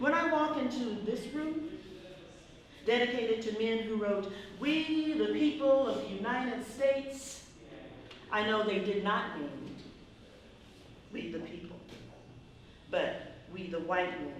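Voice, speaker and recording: A woman with an American accent and a fairly high pitch speaks at a fairly slow pace with long, frequent pauses and very wide pitch swings, over noticeable background noise. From Tulsa, Oklahoma. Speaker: poet, spoken word artist. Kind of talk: spoken word poetry performance.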